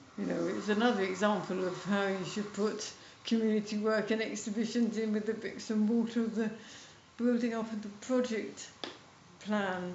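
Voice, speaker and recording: Amid noticeable background noise and audible room echo, a woman with a fairly high pitch speaks at a moderate pace in a monotone, flat way. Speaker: retired museum curator. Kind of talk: interview.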